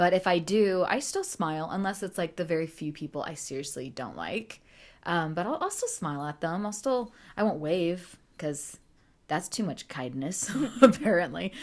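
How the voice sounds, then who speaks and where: On a very clean recording with a silent background, a woman with a fairly low pitch and lively intonation speaks at a moderate pace. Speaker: podcast co-host. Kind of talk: casual chat.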